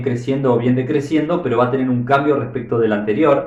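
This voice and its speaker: A man speaks with an Argentine accent. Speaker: math teacher. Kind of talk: math tutorial explanation.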